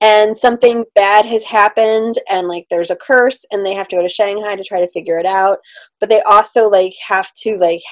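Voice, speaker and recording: The background is quiet while a woman speaks at a fairly quick pace. Her intonation stays fairly even. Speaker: book reviewer co-host. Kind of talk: casual chat, book review. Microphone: video call.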